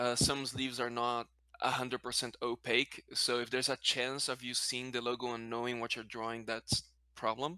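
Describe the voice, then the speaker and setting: In a non-native accent, a man speaks at a moderate pace and medium pitch with a bright, sharp tone. His intonation is monotone and flat, and the sound is dry and close with no echo. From Brazil, then Spanish-speaking country. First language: Portuguese. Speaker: card game content creator. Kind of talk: casual interview chat. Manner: halting, self-correcting.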